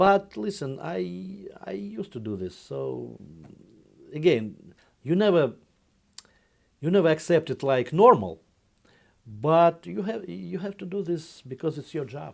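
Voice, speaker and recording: A man with a Russian accent speaks fairly slowly in a fairly high pitch, leaving long, frequent pauses. His pitch swings very widely and his loudness shifts a lot. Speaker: investment fund executive. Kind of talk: interview. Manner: halting.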